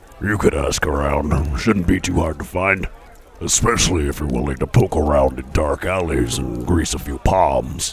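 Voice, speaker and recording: Clear background noise sits behind a man's voice. He puts on a character voice with a very deep, low pitch. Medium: actual play. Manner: calm, matter-of-fact.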